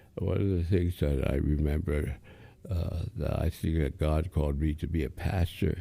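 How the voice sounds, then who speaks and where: On a very clean recording with a silent background, a man talks at a moderate pace in a dark, mellow tone with vocal fry. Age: 70s. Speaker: aspiring pastor, stroke survivor. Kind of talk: casual interview, faith testimony. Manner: halting, many fillers.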